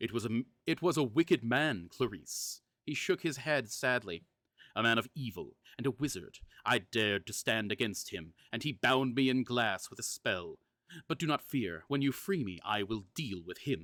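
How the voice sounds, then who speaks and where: Put-on character voice from a man, moderate in pace and medium in pitch. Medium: read story. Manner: seductive, gentle, intent.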